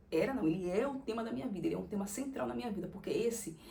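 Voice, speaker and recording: With audible room echo, a woman speaks at medium pitch in a dark, mellow tone, her intonation lively and her voice showing vocal fry. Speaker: content creator. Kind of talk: casual monologue.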